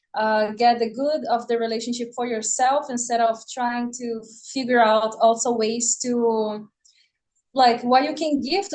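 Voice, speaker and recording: A woman's fairly high voice with fairly even intonation, at a moderate pace. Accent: Portuguese. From Brazil (Rio de Janeiro). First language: Portuguese. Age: 20s. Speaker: podcast guest. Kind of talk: podcast interview.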